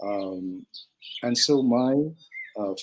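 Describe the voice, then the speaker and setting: A man is speaking. He has a Manipur accent. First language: Manipuri. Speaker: translator and film curator. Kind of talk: interview. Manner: halting, many fillers.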